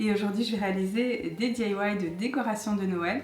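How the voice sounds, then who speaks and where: Using a put-on character voice, a woman speaks at a medium pitch and a moderate pace, sounding hoarse with fairly even intonation and audible echo. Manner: quiet, low volume.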